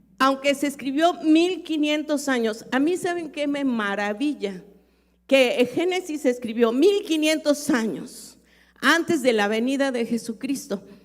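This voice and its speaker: A woman's high-pitched voice with lively intonation at a fairly slow pace, in a very clean recording with a silent background. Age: 60s. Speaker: pastor. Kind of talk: sermon.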